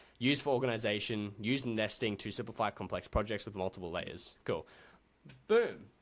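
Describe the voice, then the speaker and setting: A man with an Australian accent talks at a medium pitch with fairly even intonation. The recording is very clean, with a silent background. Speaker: video editing tutor. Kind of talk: tutorial. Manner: fast; casual.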